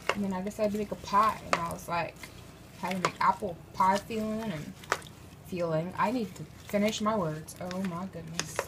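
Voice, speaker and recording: Against noticeable background noise, a woman with an American accent talks at a moderate pace with fairly even intonation. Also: medium pitch for a woman. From mixed US, partly North Carolina in childhood. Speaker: home cooking vlogger. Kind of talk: casual cooking tutorial. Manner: chatty, informal, with fillers.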